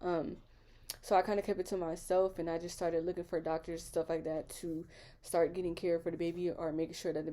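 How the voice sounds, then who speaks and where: At a very fast pace, a woman speaks in a dark, mellow tone with monotone, flat intonation. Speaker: vlogger. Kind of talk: casual vlog storytelling.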